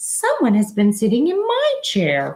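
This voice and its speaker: A woman performs a put-on character voice with a raspy sound. She keeps to a moderate pace. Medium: read story.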